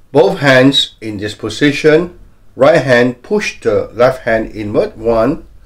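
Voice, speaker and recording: The background stays quiet while a man talks. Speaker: health coach. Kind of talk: tutorial.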